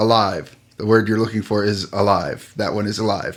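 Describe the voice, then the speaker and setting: A man puts on a gruff character voice at a fairly low pitch. He speaks at a moderate pace with monotone, flat intonation. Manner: curt, correcting.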